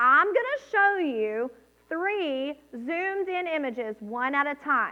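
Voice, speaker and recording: A woman with an American accent, high-pitched, at a very slow pace, with very wide pitch swings. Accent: southern US accent, comes out at times. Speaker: children's ministry leader. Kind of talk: children's sermon. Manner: animated.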